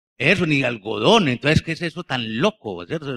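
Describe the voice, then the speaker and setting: Here a man talks at a moderate pace in a bright, sharp tone. The sound is dry and close, with no echo. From Colombia, Bello (Antioquia). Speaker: novelist. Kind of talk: book presentation conversation. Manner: halting, frequent repetitions.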